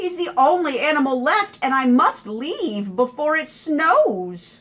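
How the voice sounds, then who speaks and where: Using a put-on character voice, a woman speaks at a high pitch with very wide pitch swings at a fairly slow pace. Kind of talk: children's read-aloud. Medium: read story.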